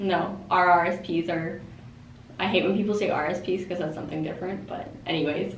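A woman with a Canadian accent speaks in a fairly low, flat monotone. The room echo is audible, and the background noise is noticeable. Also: moderate pace. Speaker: finance-savvy guest. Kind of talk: casual chat.

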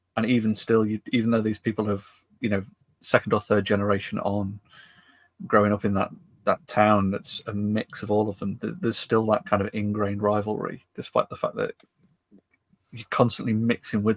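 A man with a Lancashire accent speaks at a fairly quick pace in a fairly low, flat monotone, leaving long and frequent pauses, and the sound is dry and close with no echo. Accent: northern English (Lancashire area). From northwest England. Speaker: podcast co-host, maker. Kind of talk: casual chat.

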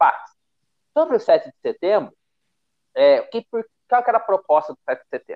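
A man is speaking here. His pace is moderate. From Brazil. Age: 20s. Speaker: podcast host. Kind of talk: casual political discussion.

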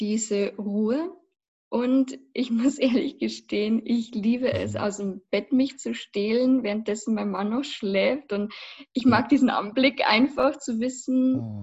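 A woman's somewhat breathy, fairly high voice at a very slow pace, with ordinary pitch variation. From Lower Bavaria, Passau. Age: 20s. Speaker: vocal and acting coach, former musical performer. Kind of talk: casual interview.

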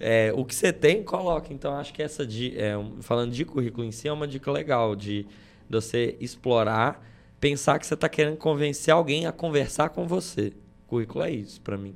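A man talks with an unremarkable speaking voice at a fairly high pitch. His intonation is lively. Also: fairly quick pace. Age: 20s. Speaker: podcast co-host. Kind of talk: casual chat. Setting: studio.

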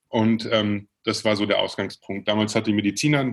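A man's fairly low-pitched voice at a fairly quick pace. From Bavaria (Regensburg). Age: 30s. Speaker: entrepreneur. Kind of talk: interview. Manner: hesitant, many fillers.

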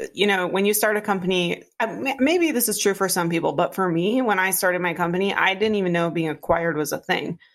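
In a plain, everyday voice, a woman talks at a fairly quick pace with hardly any pauses, using a medium pitch and ordinary pitch variation. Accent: American. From Northern Minnesota, Iron Range. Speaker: startup CEO. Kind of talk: interview conversation.

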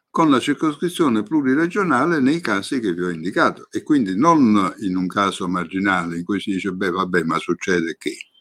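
Here a man speaks with very wide pitch swings. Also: very clean recording, silent background. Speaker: law professor and former senator. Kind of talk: lecture.

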